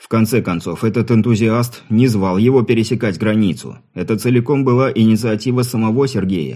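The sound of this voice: An unforced voice reads the text aloud.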